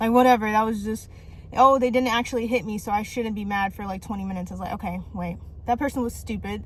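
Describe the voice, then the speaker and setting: Very fast speech from a woman at a fairly high pitch, fairly even in intonation, with noticeable background noise. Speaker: vlogger. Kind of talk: casual vlog monologue. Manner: rambling, run-on sentences with stutters.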